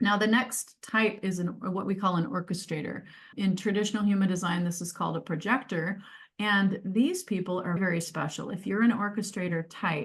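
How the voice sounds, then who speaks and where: Against a quiet background, a woman's somewhat breathy voice holds a medium pitch with ordinary pitch variation at a moderate pace. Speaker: change advisor and career coach. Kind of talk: webinar presentation.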